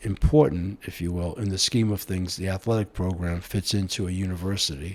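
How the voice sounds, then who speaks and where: A man speaks at a moderate pace in a fairly low, somewhat breathy voice with fairly even intonation. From US, Italian-American household. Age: 70s. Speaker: mayor and former broadcast executive. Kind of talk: interview.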